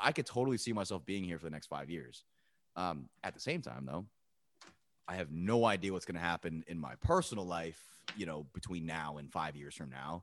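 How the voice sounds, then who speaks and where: A man's very deep, low voice with vocal fry and an American accent, at a fairly quick pace. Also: ordinary pitch variation. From US Northeast, New Jersey (Hunterdon County). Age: 20s. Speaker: podcast host. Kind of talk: casual chat.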